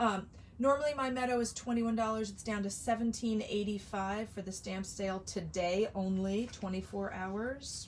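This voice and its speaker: Speaking at a moderate pace with hardly any pauses, a woman has a medium pitch and a somewhat breathy sound. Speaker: craft product demonstrator. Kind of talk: live sales stream. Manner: animated.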